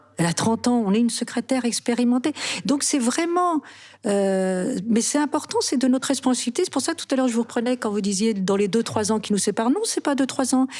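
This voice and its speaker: A woman speaks at a fairly quick pace in a high pitch, her intonation lively. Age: 60s. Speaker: actress. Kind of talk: interview.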